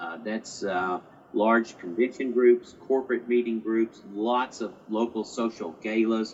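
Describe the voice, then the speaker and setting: A man talks at a fairly slow pace and a medium pitch. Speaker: tourism organization president, guest. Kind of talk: interview chat. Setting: video call. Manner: hesitant, filler-heavy.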